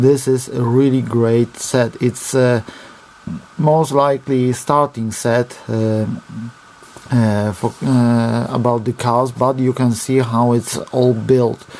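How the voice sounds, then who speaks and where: A man with a Polish accent and a medium pitch speaks very slowly in a monotone, flat delivery at very even loudness, with noticeable background noise. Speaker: RC hobby reviewer. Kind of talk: product review. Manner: halting.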